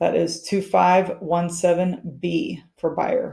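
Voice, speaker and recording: Her voice dark and mellow with vocal fry, a woman speaks at a fairly low pitch with fairly even intonation. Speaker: realtor and trainer. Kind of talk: tutorial. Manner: fast.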